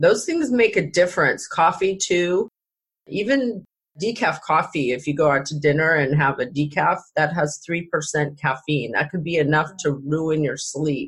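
Very deep and low for a woman, her voice is somewhat breathy. She speaks at a moderate pace with ordinary pitch variation. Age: 50s. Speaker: podcast host. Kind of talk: casual chat.

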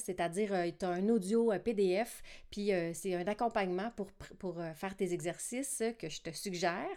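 In a Quebec accent, a woman talks at a fairly slow pace with ordinary pitch variation. The recording is very clean, its background silent. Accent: Québécois French. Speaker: podcast host, singing teacher and multi-instrumentalist. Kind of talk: casual monologue podcast. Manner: casual with many filler words.

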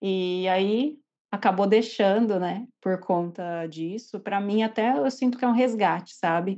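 In an ordinary speaking voice, a woman talks at a fairly slow pace. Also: medium pitch for a woman, ordinary pitch variation. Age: 30s. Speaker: nurse and tarot reader. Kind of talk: personal testimony.

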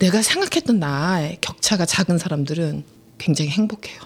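The woman's voice is somewhat breathy and medium in pitch. She speaks at a moderate pace. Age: 40s. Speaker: podcast co-host. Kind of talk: casual chat.

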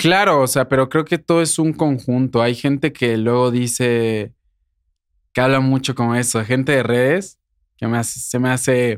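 A man with an ordinary speaking voice talks at medium pitch and a moderate pace, with ordinary pitch variation. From Querétaro, Mexico. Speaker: singer and influencer. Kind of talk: interview.

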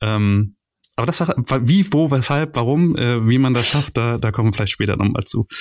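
In a very clean recording with a silent background, a man talks at a moderate pace and medium pitch, his intonation lively and his loudness very even. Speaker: podcast host, agile coach. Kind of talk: podcast interview. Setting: recorded on vacation.

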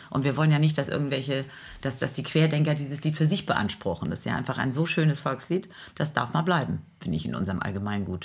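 A woman speaks at a very fast pace with a very deep, low pitch and vocal fry. Her intonation is lively. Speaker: teacher, singer and podcast co-host. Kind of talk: casual chat.

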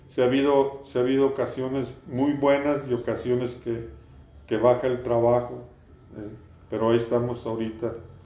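A man with a dark, mellow tone speaks in a flat monotone, and the room gives audible echo. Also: medium pitch for a man, moderate pace. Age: 60s. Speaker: industrial designer. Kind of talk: interview. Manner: halting, many repeated words.

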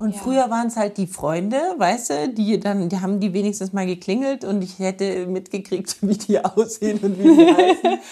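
A woman's unremarkable speaking voice, medium in pitch, with ordinary pitch variation and hardly any pauses. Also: moderate pace. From Munich, Bavaria. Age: 40s. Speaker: theatre director and actress. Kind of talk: interview.

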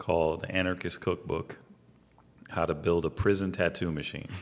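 Here a man speaks with an American accent. His very deep, low voice keeps a fairly even intonation. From Miami, Florida. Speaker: barber and podcast co-host. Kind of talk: casual chat.

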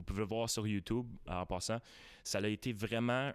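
A man at a medium pitch and a moderate pace, on a very clean recording with a silent background. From Quebec, Gatineau. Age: 20s. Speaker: magician. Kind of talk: radio interview. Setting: studio. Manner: animated.

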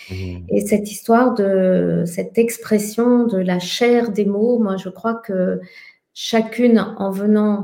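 In a very clean recording with a silent background, a woman speaks very slowly in a flat, monotone way. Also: medium pitch for a woman. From France. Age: 50s. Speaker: somatic educator and researcher. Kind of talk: casual conversation.

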